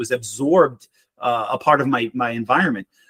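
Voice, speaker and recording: A man's bright, sharp voice at a medium pitch, with a slight Boston accent and a very fast pace. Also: dry, close sound with no echo. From Boston, Massachusetts. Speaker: marriage mentor and military veteran. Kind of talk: casual interview conversation.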